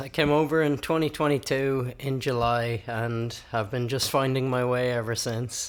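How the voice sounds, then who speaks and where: Using an Irish accent, a man at a medium pitch talks at a moderate pace with hardly any pauses. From Ireland. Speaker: musician and open mic host. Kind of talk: interview. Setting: studio.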